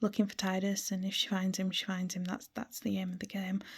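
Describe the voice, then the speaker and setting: A woman speaks at a medium pitch, somewhat breathy. Her tone is dark and mellow. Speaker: gaming vlogger. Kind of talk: casual monologue about a video game. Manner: frequent ums and hesitations.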